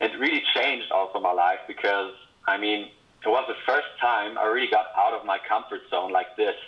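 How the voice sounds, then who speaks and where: A man talks at a moderate pace. He speaks with a Swiss accent. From Switzerland. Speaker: former camp counselor. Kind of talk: casual video greeting.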